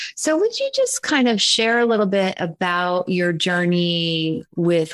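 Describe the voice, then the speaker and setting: An ordinary speaking voice from a woman, fairly low-pitched and fairly slow, against a quiet background. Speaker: spiritual business coach and channeler. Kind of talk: guided meditation. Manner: soft, slow, soothing, ceremonial.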